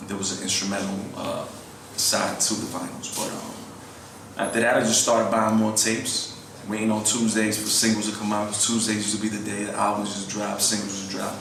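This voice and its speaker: A man with a fairly low pitch talks at a fairly quick pace in a monotone, flat delivery, with audible room echo and noticeable background noise. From New York (Queens). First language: Spanish. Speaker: rapper. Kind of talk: interview. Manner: casual, filler-heavy.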